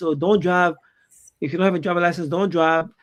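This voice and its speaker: A man with a strong non-native accent speaks at a high pitch. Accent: thick foreign. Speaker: immigration lawyer. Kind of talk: panel discussion. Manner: halting, many fillers.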